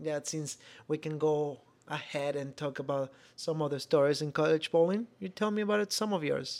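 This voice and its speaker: Very clean, with a silent background, the recording features a man with a Venezuelan accent. He speaks at a moderate pace with ordinary pitch variation. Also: fairly high pitch for a man. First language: Spanish. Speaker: podcast co-host, former college bowler. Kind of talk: casual chat.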